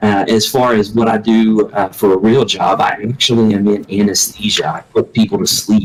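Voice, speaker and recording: A man with a strong Southern US accent speaks at a fairly low pitch and moderate pace. His intonation stays fairly even, with hardly any pauses. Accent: thick Southern US. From US South, Alabama. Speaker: video game community leader, anesthesia worker. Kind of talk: casual interview chat. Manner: halting, many fillers.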